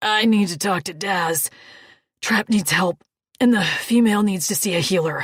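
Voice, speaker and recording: A woman puts on a raspy, gruff character voice at a medium pitch. She keeps a moderate pace. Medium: read story.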